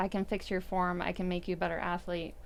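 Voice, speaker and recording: A soft-spoken woman talks. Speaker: CrossFit coach. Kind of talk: casual chat.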